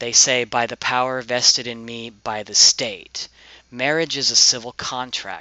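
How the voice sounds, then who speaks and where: Medium in pitch, a man speaks at a fairly slow pace. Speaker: video blogger. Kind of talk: opinion rant. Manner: flat and even.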